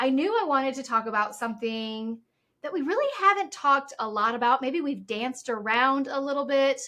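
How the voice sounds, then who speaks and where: A woman talks in a raised, projected voice at a fairly quick pace. Her pitch is high and her intonation lively. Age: 50s. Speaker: podcast host. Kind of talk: casual chat. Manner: animated.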